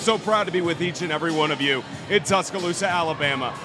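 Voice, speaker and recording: Very fast delivery with ordinary pitch variation over music in the background. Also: man, high pitch for a man. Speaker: sports broadcaster. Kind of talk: broadcast open.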